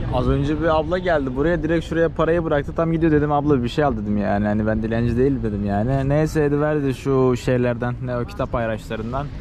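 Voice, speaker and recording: A man rattles off words at a very fast pace with hardly any pauses, at medium pitch with ordinary pitch variation, amid audible room echo and noticeable background noise. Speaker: travel vlogger. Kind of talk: casual chat. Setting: outdoors.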